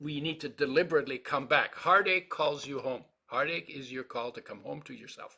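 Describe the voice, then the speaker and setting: The voice has a bright, sharp tone, a moderate pace, ordinary pitch variation and big swings in loudness. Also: man. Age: 80s+. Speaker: nutrition expert, supplement creator. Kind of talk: casual interview. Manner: halting, repetitive fillers.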